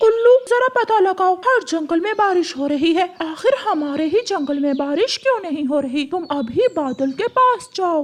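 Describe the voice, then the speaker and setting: Over light background noise, a cartoonish character voice with an extremely high pitch moves at a moderate pace with hardly any pauses. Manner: authoritative but kind.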